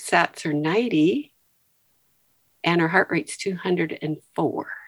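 Her pitch medium, a woman speaks with ordinary pitch variation. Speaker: retired nurse. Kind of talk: casual chat.

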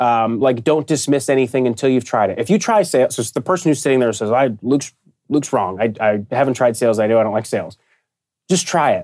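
This man has an ordinary speaking voice with an American accent and ordinary pitch variation, talking at a fairly quick pace. The recording is very clean, with a silent background. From Pittsburgh, US. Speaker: sports partnership sales director. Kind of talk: interview.

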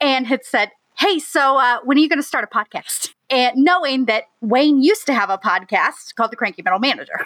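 Talking at a fairly quick clip with hardly any pauses, a woman's high-pitched voice sounds bright and sharp, with lively intonation, very even loudness and a dry, close sound with no echo. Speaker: podcast co-host and web developer. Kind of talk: casual interview chat. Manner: fast talker; nervous.

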